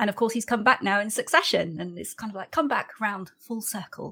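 A woman speaks at medium pitch in a bright, sharp tone. Her intonation is lively and her pace moderate. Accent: British. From UK. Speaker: podcast host. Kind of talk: casual chat.

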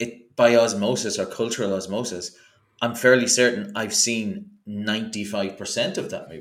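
Delivered with an Irish accent at a moderate pace, the speech has fairly even intonation and audible room echo. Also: man. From Ireland. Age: 40s. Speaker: podcaster. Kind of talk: casual chat.

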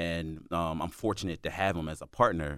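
A man with a very deep, low pitch talks at a moderate pace on a very clean recording with a silent background. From Philadelphia. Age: 40s. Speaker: nonprofit founder and school administrator. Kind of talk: casual interview. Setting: studio.

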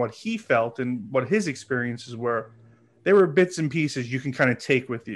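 Speaking over a quiet background, a man has an unremarkable speaking voice. He keeps a moderate pace. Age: 30s. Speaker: podcast guest. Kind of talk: casual chat.

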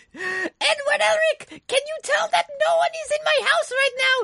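In a put-on character voice, a woman sounds squeaky at an extremely high pitch, going at a moderate pace. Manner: loud, energetic, vigorous.

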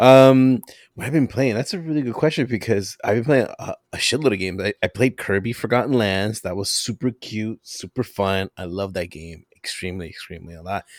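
An ordinary speaking voice at a fairly quick pace with hardly any pauses, lively intonation and big swings in loudness, the sound dry and close with no echo. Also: man, medium pitch for a man. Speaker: guest podcaster. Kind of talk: casual chat. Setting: remote recording.

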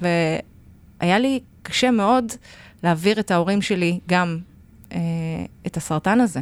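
The pace is fairly slow, with long, frequent pauses and ordinary pitch variation. It is a very clean recording against a silent background. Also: woman, fairly low pitch for a woman. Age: 40s. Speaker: podcast co-host, lecturer and writer. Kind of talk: casual chat.

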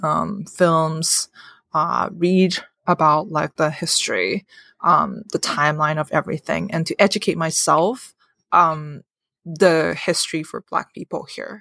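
In a Cantonese accent, a woman speaks at a fairly slow pace with a bright, sharp tone. The sound is dry and close with no echo, on a very clean recording with a silent background. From Hong Kong. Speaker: therapist. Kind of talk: casual chat. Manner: halting, many fillers.

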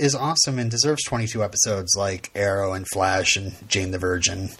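Against a quiet background, this man keeps a moderate pace. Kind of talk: casual chat. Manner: halting.

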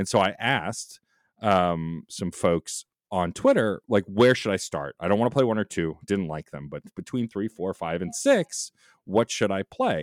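In a dry, close sound with no echo on a very clean recording with a silent background, a man with a plain, everyday voice speaks fairly slowly at a fairly low pitch with ordinary pitch variation. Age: 40s. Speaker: podcaster. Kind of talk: casual chat.

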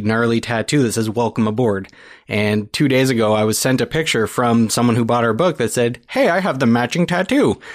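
An unremarkable speaking voice from a man at medium pitch, with ordinary pitch variation, very even loudness, a fairly quick pace and hardly any pauses, on a very clean recording with a silent background. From Niagara region, Ontario, Canada. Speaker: podcaster and book creator. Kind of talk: casual interview chat. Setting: studio.

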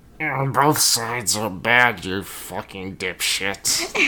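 Someone performs a put-on character voice at a very slow pace. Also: man, medium pitch for a man. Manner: mocking, crude.

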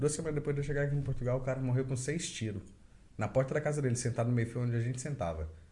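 A man talks at a medium pitch in a somewhat breathy voice with a dark, mellow tone. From Brazil. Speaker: podcast host. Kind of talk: casual chat.

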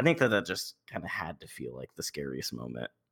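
With vocal fry and a bright, sharp tone, a man speaks at a moderate pace on a very clean recording with a silent background. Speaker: actual-play performer and podcast host. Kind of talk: casual chat.

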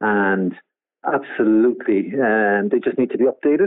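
Here is a man with a Cork accent. His pitch is medium and his pace fairly quick. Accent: Cork Irish. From Cork, Ireland. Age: 60s. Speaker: yacht owner and skipper. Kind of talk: interview. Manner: halting, repetitive.

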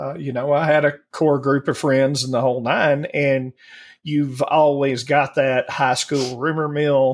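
A man with a fairly high pitch talks very slowly in a monotone, flat intonation. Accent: strong Southern US. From US South. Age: 40s. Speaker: podcast co-host. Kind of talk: casual chat.

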